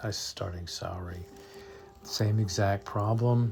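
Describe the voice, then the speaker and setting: This man's voice is fairly low and somewhat breathy. He talks at a fairly slow pace. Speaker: math teacher. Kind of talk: tutorial. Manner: halting.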